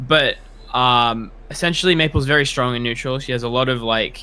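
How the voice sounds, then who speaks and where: With an Australian accent, a man speaks at a medium pitch in a bright, sharp tone. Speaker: competitive gamer. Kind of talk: casual chat.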